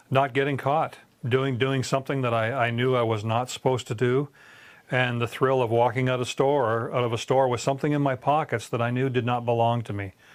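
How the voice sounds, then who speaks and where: A man with a Canadian accent talks at a fairly quick pace and a medium pitch. His intonation is monotone and flat, on a very clean recording with a silent background. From Canada, Southern Ontario. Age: 60s. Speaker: former criminal giving testimony. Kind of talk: testimony. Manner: halting, many repetitions and fillers.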